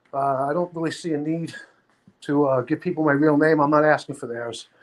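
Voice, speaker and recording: With an American accent, a man speaks at a fairly quick pace in a fairly high pitch with fairly even intonation. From Brooklyn, New York (Sheepshead Bay). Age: 60s. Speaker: livestream panelist. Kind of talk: casual chat.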